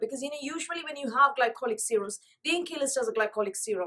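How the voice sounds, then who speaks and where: Her pitch high and swinging very widely, a woman talks at a very fast pace. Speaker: beauty vlogger. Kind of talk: product review. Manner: hesitant with fillers.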